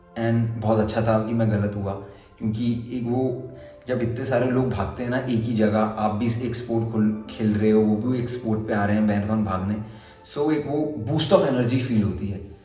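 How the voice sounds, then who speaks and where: Noticeable background noise and audible room echo accompany a man speaking at a medium pitch with fairly even intonation. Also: moderate pace. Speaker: vlogger. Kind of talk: personal vlog.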